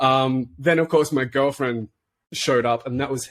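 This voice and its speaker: A man with an Australian accent speaks at a medium pitch in a very clean recording with a silent background. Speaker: podcast co-host. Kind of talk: casual chat. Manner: animated.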